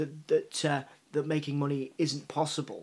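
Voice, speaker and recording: On a very clean recording with a silent background, a man with a Yorkshire accent and fairly high pitch speaks in a monotone, flat intonation. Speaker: journalist and magazine founder. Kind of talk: interview answer. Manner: halting, many repetitions.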